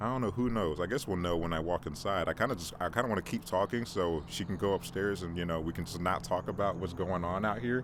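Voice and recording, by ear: A man speaks quickly in a low voice with few pauses and ordinary pitch variation.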